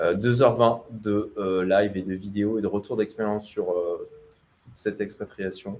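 Speaking very slowly with hardly any pauses, a man holds a fairly low pitch in a monotone, flat intonation. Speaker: entrepreneur and livestreamer. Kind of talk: livestream Q&A about expatriation. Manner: hesitant, many fillers.

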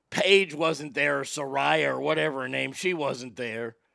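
Loud and fairly high-pitched, a man speaks at a fairly slow pace with a bright, sharp tone and lively intonation on a very clean recording with a silent background. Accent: American. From Texas. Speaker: podcast host. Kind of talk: casual chat. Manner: animated.

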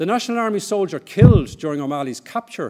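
This is a man speaking. He has an Irish accent. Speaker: history professor. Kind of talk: lecture.

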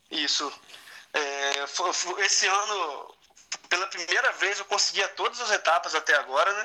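Over noticeable background noise, a man with a high pitch uses a raised, projected voice at a fairly slow pace with ordinary pitch variation. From Campos, Rio de Janeiro state, Brazil. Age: 20s. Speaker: triathlete and firefighter. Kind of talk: interview.

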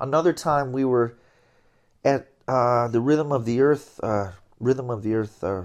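An ordinary speaking voice from a man with an American accent, medium pitch, ordinary pitch variation and a moderate pace, over a quiet background. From US Northeast (Binghamton, New York). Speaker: jazz trombonist. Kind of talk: interview. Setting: at home.

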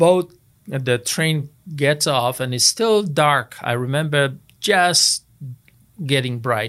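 A man speaks at a fairly high pitch, very slowly, with lively intonation and long, frequent pauses. The recording is very clean, with a silent background. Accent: Polish. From Poland, Wrocław. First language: Polish. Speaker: retired air force officer. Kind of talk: casual interview, life story.

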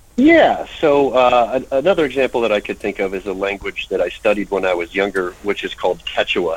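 Noticeable background noise is present throughout. The voice carries an American accent. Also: man. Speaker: linguist. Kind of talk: radio interview. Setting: phone or remote call.

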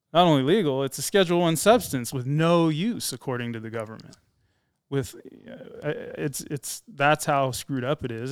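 Fairly quick and lively in intonation, a man speaks in an ordinary speaking voice at a fairly high pitch, with big swings in loudness. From California. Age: 40s. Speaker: former police officer. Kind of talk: interview storytelling.

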